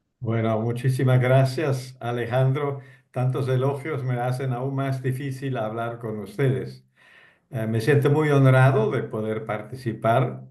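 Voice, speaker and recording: In a non-native accent, a man speaks fairly slowly in a flat monotone, his dark, mellow tone somewhat breathy, with audible echo in the room. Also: medium pitch for a man. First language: not Spanish (speaking Spanish). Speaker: retired diplomat. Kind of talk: talk to online discussion group.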